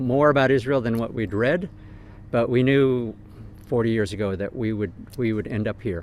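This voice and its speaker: Speaking in an American accent at a moderate pace, the man has an ordinary speaking voice. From United States. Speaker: pastor. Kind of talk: interview. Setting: outdoors.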